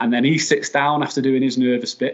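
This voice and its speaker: A man with a Mancunian accent, fairly high in pitch, at a moderate pace with monotone, flat intonation. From Manchester, England. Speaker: football community coach and scout. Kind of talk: podcast interview storytelling. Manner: halting, many repetitions.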